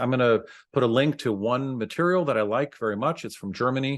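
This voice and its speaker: A man at a fairly quick pace, ordinary pitch variation, quiet background. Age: 60s. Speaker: dentist, podcast host. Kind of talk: educational monologue. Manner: halting, many fillers. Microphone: webcam.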